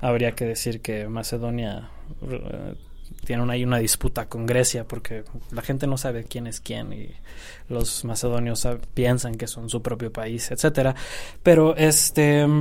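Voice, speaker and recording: The man's intonation stays fairly even, and room echo is audible. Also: medium pitch for a man, fairly slow pace. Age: 20s. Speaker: history student and part-time photographer. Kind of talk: interview. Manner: halting.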